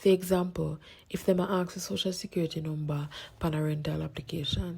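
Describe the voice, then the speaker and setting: Speech in a Jamaican accent moves at a fairly quick pace. The recording is very clean, with a silent background. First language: Jamaican Patois. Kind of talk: public information announcement.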